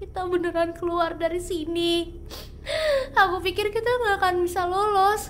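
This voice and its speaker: A woman speaks at a fairly slow pace with an extremely high pitch. Her intonation stays fairly even. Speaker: ASMR roleplay creator. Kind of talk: horror ASMR roleplay, spoken to listener as a companion. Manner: soft, hushed, intimate, tense.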